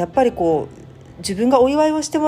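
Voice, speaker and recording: Talking at a moderate pace, this woman has a high voice whose pitch swings very wide. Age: 40s. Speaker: podcast host. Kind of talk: personal monologue.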